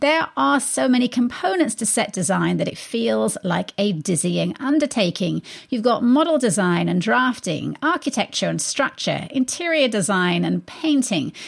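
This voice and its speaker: A woman speaks with an English accent, hardly pausing at all. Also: moderate pace. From England. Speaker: radio arts show host. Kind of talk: radio interview. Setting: studio.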